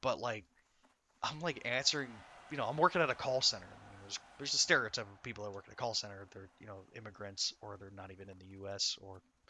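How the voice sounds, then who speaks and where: Speaking very fast in a fairly low voice with a Southern US accent, a man shows ordinary pitch variation and big swings in loudness. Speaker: video game streamer. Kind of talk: casual chat. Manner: calming.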